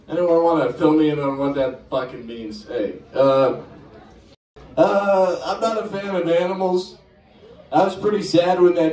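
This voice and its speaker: Speaking at a fairly slow pace, a man with a high voice is heard amid audible room echo. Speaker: comedian. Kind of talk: stand-up comedy set, crude and crowd-baiting, with heckler banter. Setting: stage with audience. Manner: cocky, insult-comic style that keeps interrupting itself with laughs. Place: bar. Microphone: camera far.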